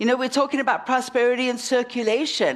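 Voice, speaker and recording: A woman speaks in a South African accent. Her pitch is high. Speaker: minister. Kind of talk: sermon. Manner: animated.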